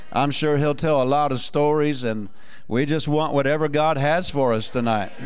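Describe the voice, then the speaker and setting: Faint music plays behind a man whose pitch is fairly high. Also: moderate pace. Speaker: pastor. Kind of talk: sermon. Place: church. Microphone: handheld.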